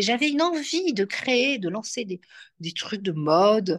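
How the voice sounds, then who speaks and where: With lively intonation, a woman is talking. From Belgium. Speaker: astrologer and entrepreneur. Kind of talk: interview. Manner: soft and gentle; hesitant, many fillers.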